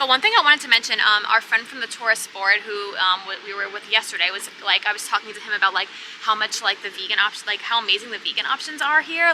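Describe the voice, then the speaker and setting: In an American accent, a woman speaks very fast in a fairly high voice with ordinary pitch variation over noticeable background noise. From New York. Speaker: travel vlogger. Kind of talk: casual chat. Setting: outdoors.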